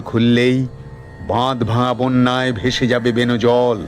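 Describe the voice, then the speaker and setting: A man with a medium-pitched voice talks while music runs behind him. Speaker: poetry reciter. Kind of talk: poetry reading.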